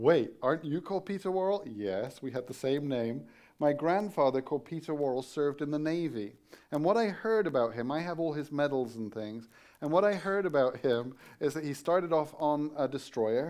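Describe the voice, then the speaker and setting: Over a quiet background, a man with an English accent speaks at a moderate pace, his fairly high pitch carrying lively intonation. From England. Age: 50s. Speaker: guest preacher, Bible college teacher. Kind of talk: sermon. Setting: church.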